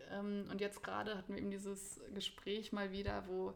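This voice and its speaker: A woman talks over noticeable background noise. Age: 30s. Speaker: spiritual teacher and academic. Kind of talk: casual interview.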